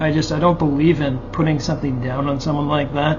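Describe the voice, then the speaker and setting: Through noticeable background noise and audible room echo, a man speaks at a fairly high pitch. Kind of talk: personal monologue. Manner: halting, repetitive.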